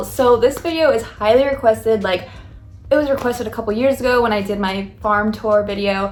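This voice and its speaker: Over music in the background, a woman speaks at a fairly quick pace, her fairly high pitch showing ordinary variation. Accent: American. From Coolidge, Arizona. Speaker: farmer. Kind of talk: casual talk to camera. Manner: fast, rambling.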